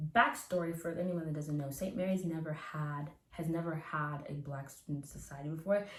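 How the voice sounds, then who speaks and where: Over noticeable background noise, a woman with a Canadian accent speaks very fast at a fairly low pitch with ordinary pitch variation. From Canada (Nova Scotia). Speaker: recent university graduate. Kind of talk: interview answer. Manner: casual, chatty.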